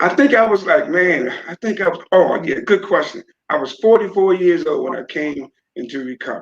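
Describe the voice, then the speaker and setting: At a moderate pace, a man speaks in a high-pitched voice. His pitch swings very widely. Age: 60s. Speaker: man in addiction recovery. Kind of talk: interview testimony. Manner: hesitant, filler words.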